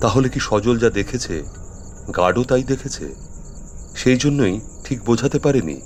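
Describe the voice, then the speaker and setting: This man has a medium pitch and an ordinary speaking voice. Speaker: storyteller / radio drama narrator. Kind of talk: horror story narration (radio drama).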